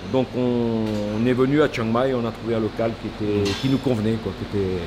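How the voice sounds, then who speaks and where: A man speaks at a moderate pace in a medium-pitched, flat monotone over noticeable background noise. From France. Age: 60s. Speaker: baker. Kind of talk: interview. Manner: halting, with many repetitions.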